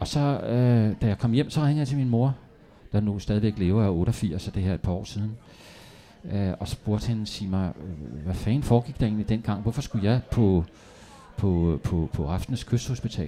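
At a moderate pace, a man speaks with a dark, mellow tone, fairly low pitch and ordinary pitch variation. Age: 60s. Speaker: novelist. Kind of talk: public author interview. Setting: café stage with live audience.

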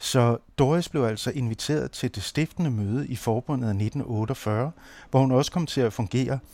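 Captured on a very clean recording with a silent background and a dry, close sound with no echo, a man speaks at a fairly slow pace in a medium pitch, with a dark, mellow tone and lively intonation. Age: 50s. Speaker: anthropologist and radio producer. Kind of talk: scripted narration.

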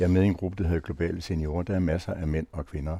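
In a very clean recording with a silent background, a man talks very fast in a very deep, low pitch with ordinary pitch variation. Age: old. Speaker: retired senior, panel guest. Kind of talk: round-table discussion.

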